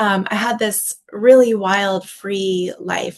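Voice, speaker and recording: In an American accent, a woman talks with a plain, everyday voice and fairly even intonation. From US South (Texas and Tennessee) with childhood summers in Finland. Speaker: tea business owner and teacher. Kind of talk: online workshop talk. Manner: conversational with frequent fillers.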